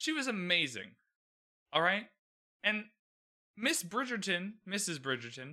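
Raised and projected, a man's bright, sharp voice moves at a moderate pace with very wide pitch swings. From Canada. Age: 20s. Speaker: podcast host. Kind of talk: solo TV recap commentary. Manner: casual, conversational.

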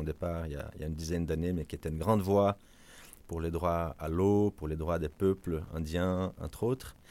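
In a very clean recording with a silent background, a man speaks in a Portuguese accent. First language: Portuguese (speaking French). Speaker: ocean foundation advocacy director. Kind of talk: interview. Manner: halting with repetitions.

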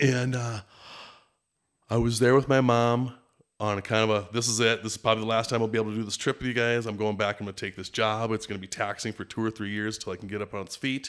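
A man's medium-pitched voice at a very fast pace, with a Minnesotan accent, monotone, flat intonation, and a very clean recording with a silent background. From Minneapolis, Minnesota. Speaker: lodge general manager and fishing guide. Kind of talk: casual interview chat.

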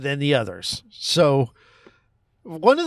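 This man has a fairly high pitch. The sound is dry and close, with no echo. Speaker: podcast host. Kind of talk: casual chat. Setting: in a car, parked outside a cinema.

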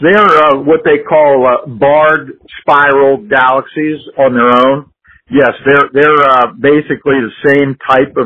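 A man talks at a very slow pace with a fairly high pitch. His loudness stays very even. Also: ordinary pitch variation. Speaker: amateur astronomy enthusiast. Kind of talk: casual science chat. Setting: phone call.

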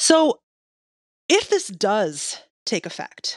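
A woman is heard in a dry, close sound with no echo against a quiet background. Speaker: registered nurse and sex educator. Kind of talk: casual chat. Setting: remote recording online.

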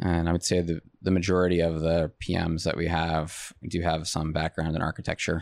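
Speaking with an American accent at a fairly quick pace, the voice is monotone and flat, its loudness very even and its pauses hardly there, on a very clean recording with a silent background. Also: man, very deep, low pitch for a man. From New York State (Long Island, upstate). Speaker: construction project management director. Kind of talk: interview conversation. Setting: studio. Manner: laid back, calm.

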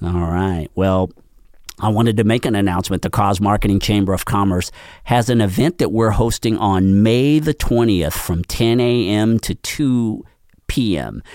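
In a very clean recording with a silent background, a man speaks in a normal speaking voice at a fairly low pitch, moderate pace and ordinary pitch variation. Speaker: podcast host and nonprofit chamber director. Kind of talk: radio interview show.

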